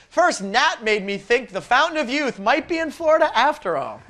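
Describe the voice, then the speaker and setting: A man speaks at a moderate pace in a raised, projected voice. His tone is bright and sharp. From United States. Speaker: game show host. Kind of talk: game show hosting. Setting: studio. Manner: animated.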